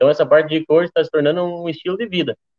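With ordinary pitch variation, a man talks at a very fast pace in a fairly high pitch. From Rio Grande do Sul, Brazil. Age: 20s. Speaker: motorcycle traveler. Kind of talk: casual chat. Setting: live stream from the road.

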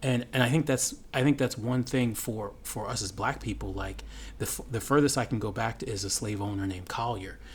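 A man with a medium pitch speaks at a fairly quick pace. His voice shows vocal fry and ordinary pitch variation. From United States. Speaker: podcast co-host. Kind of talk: casual chat.

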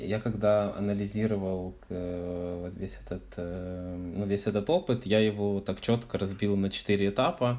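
A man's fairly low voice with a dark, mellow tone and ordinary pitch variation. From Ukraine, Odesa. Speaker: podcast guest, former volunteer intern in France. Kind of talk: casual interview. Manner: halting, many fillers.

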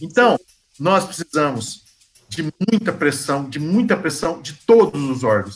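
A fairly high male voice at a fairly slow pace, with very wide pitch swings. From Goiás, Brazil (born in Bahia). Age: 40s. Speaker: philosophy teacher. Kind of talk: interview.

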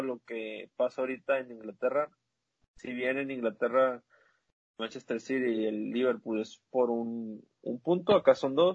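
A man talks at a fairly slow pace in a normal speaking voice. His pitch sits in the medium range. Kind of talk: casual chat.

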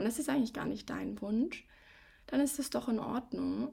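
The voice has a dark, mellow, warm tone with vocal fry. It moves at a moderate pace. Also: woman. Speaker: coach and podcast host. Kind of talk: advice podcast monologue. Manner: warm, direct address to listener.

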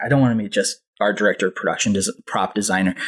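Dry, close sound with no echo around a man's plain, everyday voice, medium in pitch with ordinary pitch variation. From Southern California, Anaheim. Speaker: animation production coordinator. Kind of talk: casual chat.

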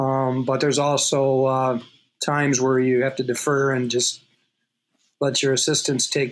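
At a fairly slow pace, a man with a Minnesotan accent talks at a medium pitch. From Minnesota, Twin Cities suburb. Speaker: college hockey coach. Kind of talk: casual interview.

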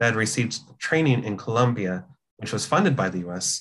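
A man with a General American accent has a normal speaking voice at medium pitch and a moderate pace. His pitch varies in an ordinary way against a quiet background. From California, US. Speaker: comics journalist. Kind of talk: casual interview.

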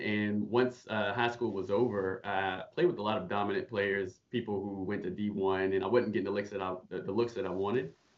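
Speaking at a moderate pace in a plain, everyday voice, a man with an American accent holds a fairly low pitch and fairly even intonation. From Charlotte, North Carolina. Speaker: former college basketball player. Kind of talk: casual chat. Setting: video call.

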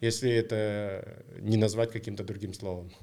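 A man speaks with a dark, mellow tone. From Kazakhstan, Almaty. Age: 40s. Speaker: triathlon race director. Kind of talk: casual chat.

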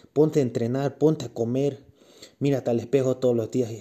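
Speaking at a moderate pace in a medium pitch, a man has a dark, mellow tone on a very clean recording with a silent background. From Bolivia, Cochabamba. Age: 20s. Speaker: bodybuilding competitor and fitness coach. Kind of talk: casual fitness tips monologue. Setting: recorded while doing cardio.

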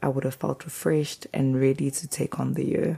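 A woman with a South African accent and a very deep, low pitch. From South Africa, KwaZulu-Natal. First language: isiZulu. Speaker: podcast host. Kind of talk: personal reflection monologue.

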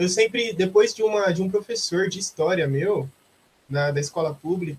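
This man talks at a moderate pace in a plain, everyday voice, with ordinary pitch variation. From Brazil, Osasco (greater São Paulo). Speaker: philosophy student and social media content creator. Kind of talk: casual interview.

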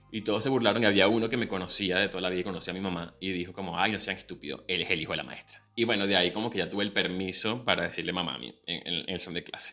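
Very deep and low, a man's voice rushes at a very fast pace with hardly any pauses and ordinary pitch variation. Background noise is noticeable. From Venezuela. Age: 30s. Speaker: podcast host and professional announcer. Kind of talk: casual personal monologue. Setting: video recording.

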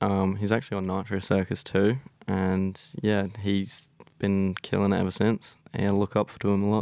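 Speaking with an Australian accent, a man uses a fairly low pitch and a monotone, flat intonation at a moderate pace. The recording is very clean, with a silent background. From South Australia. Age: 20s. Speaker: YouTuber and scooter rider. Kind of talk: casual interview. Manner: hesitant, many fillers.

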